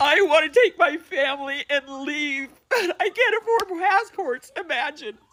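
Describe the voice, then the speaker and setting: Someone with an American accent talks at a fairly slow pace with hardly any pauses. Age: 60s. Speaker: citizen venting online. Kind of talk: social media rant.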